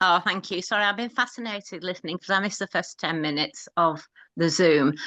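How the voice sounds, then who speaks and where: A woman's bright, sharp voice sits at medium pitch with ordinary pitch variation over a quiet background. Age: 70s. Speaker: caller. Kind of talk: personal testimony. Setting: video call.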